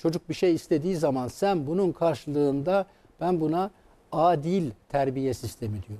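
A man speaks slowly-ish, at a fairly slow pace, with lively intonation. His voice is fairly high-pitched for a man, with a dark, mellow tone. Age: 70s. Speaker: psychiatrist; guest. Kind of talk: interview. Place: studio.

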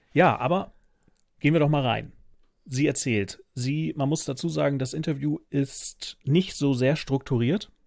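Against a quiet background, a man speaks fairly slowly at a fairly high pitch with ordinary pitch variation. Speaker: podcast host. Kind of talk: casual chat. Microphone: studio mic.

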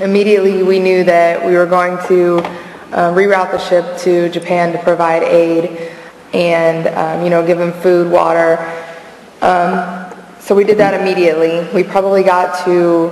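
Audible room echo surrounds a woman who speaks fairly slowly at a fairly low pitch, her intonation monotone and flat. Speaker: navy sailor. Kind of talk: testimony. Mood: calm, serious. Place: hall. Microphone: podium.

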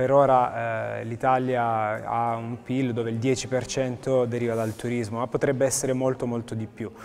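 Light background noise beneath a man's monotone, flat intonation. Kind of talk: interview answer. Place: hall. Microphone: lapel.

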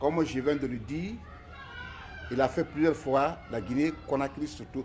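While a man talks, music can be faintly heard in the background. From Guinea. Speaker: ballet company director. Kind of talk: interview. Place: home room. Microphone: phone near.

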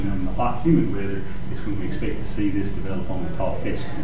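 The voice is heard over noticeable background noise with audible room echo. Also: man. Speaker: presenter. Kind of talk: lecture. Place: meeting room. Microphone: camera far.

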